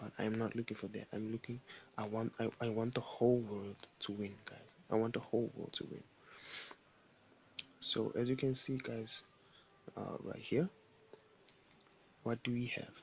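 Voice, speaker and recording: A man with a non-native accent, at a moderate pace, in a monotone, flat intonation broken by long, frequent pauses. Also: medium pitch for a man. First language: not English. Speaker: forex trading educator. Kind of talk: tutorial. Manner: halting.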